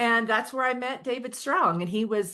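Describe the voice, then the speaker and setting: A woman with a slight Oklahoma accent speaks in a bright, sharp tone. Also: quiet background. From Oklahoma, Osage County. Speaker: author. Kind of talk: interview conversation. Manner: casual, with some repetitions.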